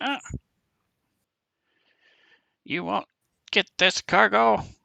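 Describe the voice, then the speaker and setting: The speaker is a man. He uses a put-on character voice at a medium pitch. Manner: defiant.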